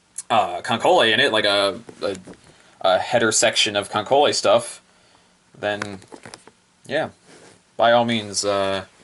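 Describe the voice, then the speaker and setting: A man talks at a fairly slow pace, with long, frequent pauses breaking up his speech. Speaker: anime merchandise reviewer. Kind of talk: product review vlog. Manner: halting, many fillers.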